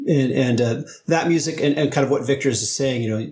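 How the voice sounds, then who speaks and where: The man's voice is somewhat breathy. He talks at a fairly quick pace. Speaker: podcast co-host. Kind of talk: casual interview chat.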